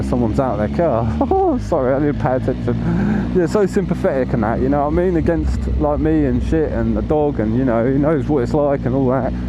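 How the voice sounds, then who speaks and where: Over noticeable background noise and audible room echo, a man talks at a moderate pace with very even loudness. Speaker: motorcycle vlogger. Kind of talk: casual monologue while riding. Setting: outdoors on a motorcycle. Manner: animated, stumbling over words.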